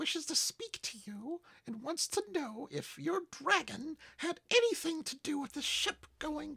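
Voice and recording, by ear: A man performs a put-on character voice that is squeaky and extremely high in pitch. He talks at a fairly slow pace.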